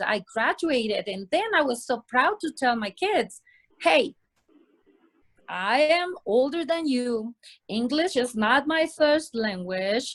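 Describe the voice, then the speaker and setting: A woman with a Spanish accent talks at a very slow pace, leaving long, frequent pauses. Her high voice swings very widely in pitch, and the sound is dry and close with no echo. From Mexico, Sonora. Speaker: interview guest. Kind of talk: casual interview conversation.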